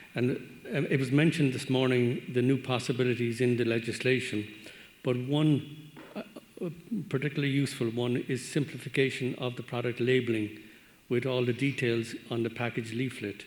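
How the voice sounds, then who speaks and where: Speaking at a fairly quick pace but with long, frequent pauses, a man uses a medium-pitched voice and fairly even intonation. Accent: Irish. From Ireland. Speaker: veterinary medicines regulator. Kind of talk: panel discussion comment.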